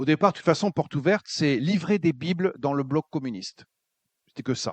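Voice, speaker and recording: This man has an ordinary speaking voice. His speech runs fairly quick. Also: fairly high pitch for a man, lively intonation. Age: 60s. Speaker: preacher, former pastor. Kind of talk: sermon. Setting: church.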